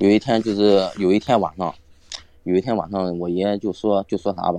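Music plays behind a man speaking at a moderate pace. His pitch is fairly low, and the sound is dry and close with no echo. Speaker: guest storyteller. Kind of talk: casual storytelling. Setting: live online voice call. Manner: halting, repetitive.

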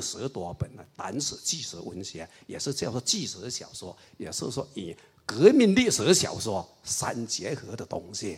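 A man speaks fairly slowly with lively intonation, his voice somewhat breathy. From Raoping, Chaozhou area, eastern Guangdong. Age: 60s. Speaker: party historian and writer. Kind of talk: public lecture dialogue.

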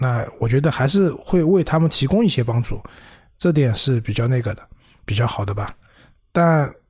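A man's somewhat breathy, medium-pitched voice with lively intonation, a moderate pace and long, frequent pauses, on a very clean recording with a silent background. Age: 40s. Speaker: PR professional. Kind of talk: casual chat.

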